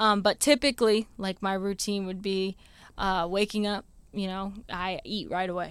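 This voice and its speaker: In an ordinary speaking voice with an American accent, a woman talks at a moderate pace and medium pitch with fairly even intonation. The sound is dry and close with no echo, and the recording is very clean with a silent background. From Maryland, Anne Arundel County. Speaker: dog trainer, former teacher. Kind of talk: casual interview chat. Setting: podcast studio.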